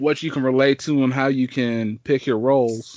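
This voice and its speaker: A man with a fairly high pitch speaks at a moderate pace in a normal speaking voice. The sound is dry and close, with no echo. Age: 20s. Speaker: podcast host. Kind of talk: casual chat.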